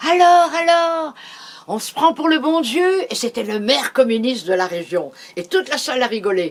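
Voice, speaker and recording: Amid noticeable background noise, a woman speaks at a high pitch with very wide pitch swings. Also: moderate pace. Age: 80s+. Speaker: storyteller. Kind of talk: interview answer. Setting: at home.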